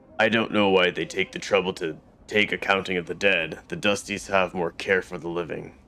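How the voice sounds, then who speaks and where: A man's put-on character voice, very deep and low, at a fairly quick pace with fairly even intonation. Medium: actual play. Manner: gruff, rueful, blunt.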